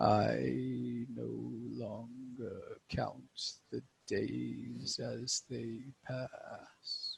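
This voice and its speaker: A man puts on a character voice and delivers it at a very slow pace. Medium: actual play. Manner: slow, solemn, cryptic.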